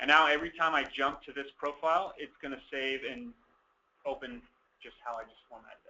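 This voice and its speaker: A man's normal speaking voice, fairly high in pitch, at a fairly quick pace, with fairly even intonation and big swings in loudness. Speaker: software trainer. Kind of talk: tutorial.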